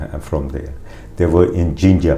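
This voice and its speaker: In a room with audible echo, a man speaks at a moderate pace in a very deep, low voice with a dark, mellow tone and vocal fry. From Uganda, East Africa (Punjabi family). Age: 60s. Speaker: interviewee telling family migration history. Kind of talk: oral history interview. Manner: halting, with many fillers and restarts.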